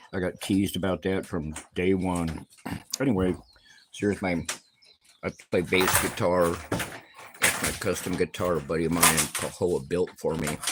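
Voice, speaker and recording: A man speaks at a moderate pace with a very deep, low pitch and fairly even intonation. Long pauses come often. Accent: American. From US West, Reno, Nevada. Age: 70s. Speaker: retired trucker, vlogger. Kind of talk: casual livestream monologue. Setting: in his cabin. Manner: rambling with fillers.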